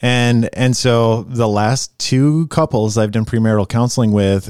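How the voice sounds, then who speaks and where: An unremarkable speaking voice, a man at medium pitch and moderate pace with ordinary pitch variation comes through on a very clean recording with a silent background and a dry, close sound with no echo. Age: 40s. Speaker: pastor. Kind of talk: casual chat.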